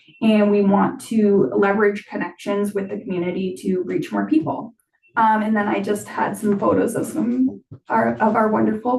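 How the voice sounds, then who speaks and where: Medium-pitched, a woman talks at a moderate pace. Hers is a plain, everyday voice. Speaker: library staff presenter. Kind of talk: presentation at board meeting. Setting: board meeting.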